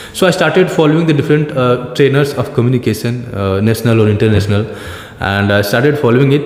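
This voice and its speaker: Speaking very fast in an Indian accent, the voice keeps a very even loudness and ordinary pitch variation. Audible room echo and noticeable background noise surround it. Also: man, medium pitch for a man. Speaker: teacher. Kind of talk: casual conversation about learning English. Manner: hesitant, many fillers and restarts.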